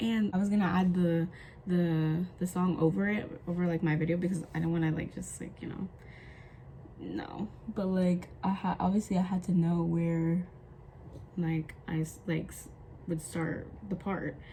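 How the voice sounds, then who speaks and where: A woman mumbling with ordinary pitch variation amid noticeable background noise. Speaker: vlogger. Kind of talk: casual chat. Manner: fast.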